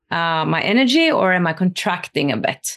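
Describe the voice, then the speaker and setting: Against a quiet background, a woman talks at a moderate pace with a medium pitch. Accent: Norwegian. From Norway. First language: Norwegian. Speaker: spiritual interviewer and former musical theater artist. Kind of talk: casual interview.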